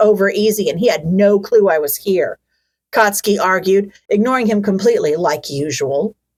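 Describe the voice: Lively intonation marks this plain reading aloud. The background is quiet.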